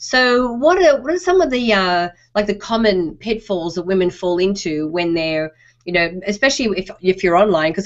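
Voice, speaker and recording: With an Australian accent, a woman talks at a fairly quick pace. Her intonation is lively. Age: middle-aged. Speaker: online show host. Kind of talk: interview.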